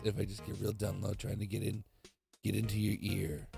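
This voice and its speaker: A man puts on a husky character voice at a fairly low pitch. He talks at a fairly quick pace over music in the background. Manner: intimate, close-to-the-ear, trying to sound seductive.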